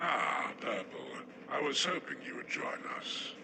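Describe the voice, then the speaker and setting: Over loud background noise, a man talks in a put-on character voice at a fairly slow pace. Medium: audio drama.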